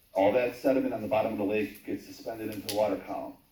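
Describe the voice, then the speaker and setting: A man speaks at a fairly low pitch, his tone dark and mellow and somewhat breathy. Room echo can be heard around him. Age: 50s. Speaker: YouTuber recording local meetings, public commenter. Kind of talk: public hearing testimony. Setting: town hall public hearing.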